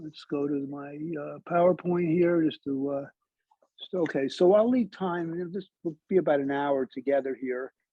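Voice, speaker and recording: Fairly high male voice, loudness rising and falling sharply, pitch moving in a normal way, pace neither fast nor slow. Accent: Brooklyn. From Brooklyn, New York City. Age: 70s. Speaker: historian, lecturer. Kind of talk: lecture. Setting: library talk with audience. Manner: halting, many fillers.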